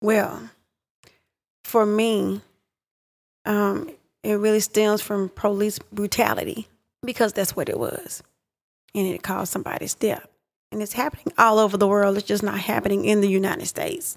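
A woman with an East Texas accent at a moderate pace, with long, frequent pauses. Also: medium pitch for a woman, ordinary pitch variation. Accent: East Texas Southern US. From East Texas (Pittsburgh, Texas). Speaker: home health worker. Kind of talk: casual discussion.

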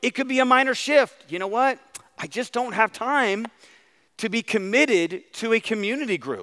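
A man speaks in a raised, projected voice with an extremely high pitch and a bright, sharp tone. He sounds animated, and his pitch varies in an ordinary way. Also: moderate pace. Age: 40s. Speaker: pastor. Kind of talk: sermon. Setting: church.

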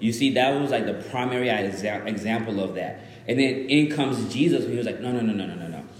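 Over noticeable background noise and audible room echo, a man speaks at a fairly quick pace with hardly any pauses, using a medium pitch and ordinary pitch variation. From Zimbabwe, moved to Dallas, Texas at about seven. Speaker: guest preacher. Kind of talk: sermon. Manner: casual, interactive with audience.

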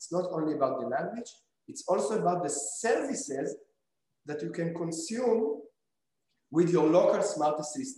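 With a dark, mellow tone and a high pitch, a man speaks at a moderate pace with long, frequent pauses, big swings in loudness, and very wide pitch swings. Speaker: robotics company founder. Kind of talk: interview. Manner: halting.

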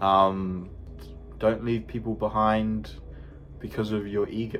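A man with a New Zealand accent speaks at a fairly slow pace, his fairly low voice showing ordinary pitch variation. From New Zealand, Manurewa, South Auckland. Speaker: photographer, graphic designer. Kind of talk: casual chat.

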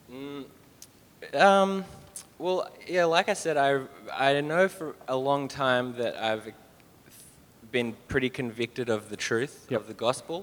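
An Australian man with a fairly high voice speaks fairly slowly with lively intonation. His loudness swings widely, and he takes long, frequent pauses. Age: 20s. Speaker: church member. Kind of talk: testimony. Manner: halting.

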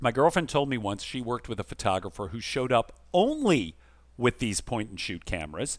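A man speaks at a fairly quick pace and a medium pitch, with very wide pitch swings. The recording is very clean, with a silent background. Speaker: podcast host. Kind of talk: casual chat.

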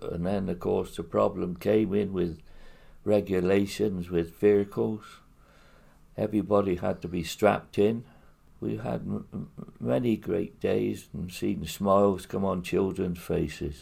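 His voice is very deep and low, with vocal fry and a dark, mellow tone. The man talks at a fairly slow pace, with ordinary pitch variation. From Hereford area, England (from Eastleigh as a child). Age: 90s. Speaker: retired builder and charity fundraiser. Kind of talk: interview. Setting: his own house. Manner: halting, many fillers.

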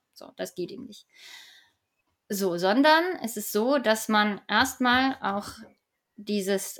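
A woman with a normal speaking voice, a fairly high pitch and lively intonation. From Hamburg, northern Germany. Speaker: energy company department head. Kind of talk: expert interview.

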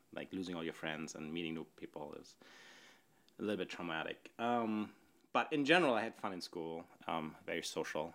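Fairly quick and with big swings in loudness, a man with a German accent speaks at a very deep, low pitch. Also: ordinary pitch variation. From northern Germany. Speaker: podcast participant on a date. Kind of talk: casual chat.

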